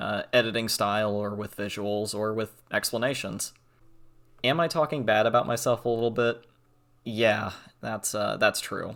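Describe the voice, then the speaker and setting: Intonation remains fairly even. Speech moves at a moderate speed. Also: man, fairly low pitch for a man, very clean recording, silent background. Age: young. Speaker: gaming and art youtuber. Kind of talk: channel introduction monologue. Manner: monotone; halting, many fillers.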